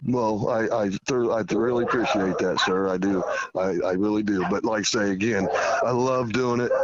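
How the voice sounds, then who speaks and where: With audible room echo and noticeable background noise, a medium-pitched man speaks at a moderate pace with very even loudness and fairly even intonation. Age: 50s. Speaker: high school softball coach. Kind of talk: interview.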